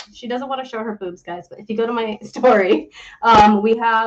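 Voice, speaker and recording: With an American accent, a woman talks at a fairly quick pace in an ordinary speaking voice, her intonation fairly even. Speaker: podcast host. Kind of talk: interview. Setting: live stream.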